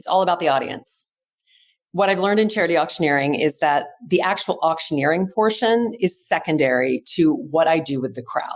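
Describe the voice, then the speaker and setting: With an unremarkable speaking voice, a woman talks fairly quickly at a fairly low pitch. Her intonation is lively. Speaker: charity auctioneer. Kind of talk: interview answer.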